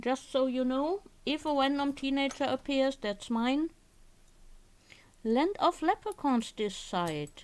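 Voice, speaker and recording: A high-pitched woman with a German accent, lively in intonation, at a very slow pace with long, frequent pauses, on a very clean recording with a silent background. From Germany. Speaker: crafting streamer. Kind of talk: casual live-stream chat. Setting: live stream with webcam.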